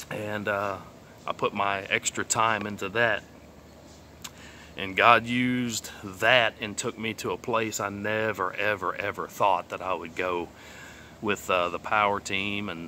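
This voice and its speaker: In a bright, sharp tone, a man with a fairly low pitch talks at a fairly slow pace with fairly even intonation. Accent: Texas. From southeast Texas, Beaumont. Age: 30s. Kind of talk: testimony. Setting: outdoors. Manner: casual, hesitant with many fillers.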